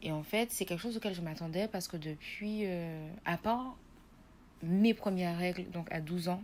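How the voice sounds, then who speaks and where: A woman speaks at a moderate pace in a fairly low voice with ordinary pitch variation. It is an ordinary speaking voice. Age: 20s. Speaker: nursing student giving patient testimony. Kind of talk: testimony.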